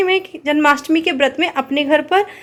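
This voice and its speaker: A woman at a moderate pace with ordinary pitch variation, amid noticeable background noise. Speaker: vlogger. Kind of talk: casual vlog chat. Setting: at home. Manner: stumbling.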